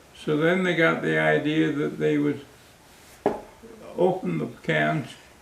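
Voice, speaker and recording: Heard through audible room echo and noticeable background noise, this man talks fairly slowly. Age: 80s+. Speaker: war veteran. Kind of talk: casual chat. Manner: halting.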